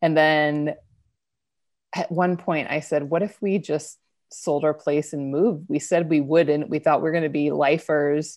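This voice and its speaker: With an American accent, a woman speaks at a moderate pace in a very deep, low pitch, with fairly even intonation over a quiet background. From US Northwest (Idaho). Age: 30s. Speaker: online marketing strategist and business coach. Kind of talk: interview conversation. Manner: loud, big personality; calmer, trying to sound professional.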